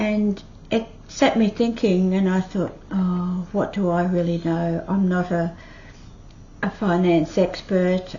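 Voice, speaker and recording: At a very slow pace, a woman with an Australian accent speaks at a medium pitch with fairly even intonation. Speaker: retiree YouTuber. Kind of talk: casual talk to camera.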